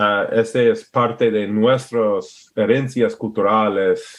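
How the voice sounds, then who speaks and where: At a very slow pace, a man with an American accent speaks in a medium-pitched voice with ordinary pitch variation. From Alaska, US. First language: English (speaking Spanish). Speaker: permaculturist and entrepreneur. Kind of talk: podcast interview. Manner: halting, searching for words.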